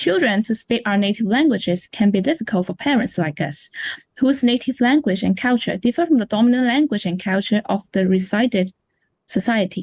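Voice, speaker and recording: Somewhat breathy and fairly high, a woman speaks in a Chinese accent at a moderate pace with lively intonation. The sound is dry and close with no echo over a quiet background. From China. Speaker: parent. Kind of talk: scripted interview.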